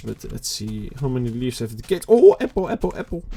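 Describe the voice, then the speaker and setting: Someone with a non-native accent talks at a moderate pace. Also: man. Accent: non-native English, noticeable. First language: not English. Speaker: gaming youtuber. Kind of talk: let's play commentary. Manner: halting, self-correcting; casual, relaxed.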